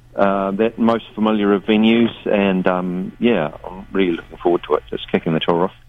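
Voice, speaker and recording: The speaker is a man with a New Zealand accent. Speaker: touring musician. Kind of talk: radio interview chat. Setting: phone call. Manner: laid-back, hesitant, wry.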